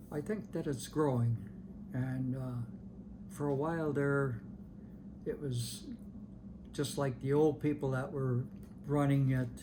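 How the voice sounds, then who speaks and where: Speaking with an American accent at a fairly slow pace, the voice has a dark, mellow tone, a somewhat breathy quality, ordinary pitch variation and long, frequent pauses, with audible room echo. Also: man, fairly high pitch for a man. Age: 80s+. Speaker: longtime parishioner interviewee. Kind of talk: oral history interview. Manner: halting, many repetitions and fillers.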